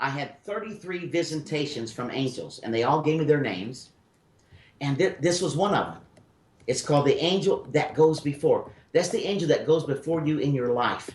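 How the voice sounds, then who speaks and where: A man's fairly high-pitched voice with a Memphis accent, ordinary pitch variation and a moderate pace. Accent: Southern US (Memphis). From US South (Memphis, Tennessee). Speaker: spiritual medium radio host. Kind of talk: call-in radio reading. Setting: radio studio.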